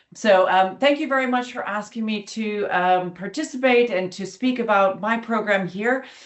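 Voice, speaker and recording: With an American accent, a woman speaks at a fairly high pitch with ordinary pitch variation and hardly any pauses, over noticeable background noise. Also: moderate pace. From United States. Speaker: academic, summer school co-director. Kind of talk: online information webinar presentation. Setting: webinar.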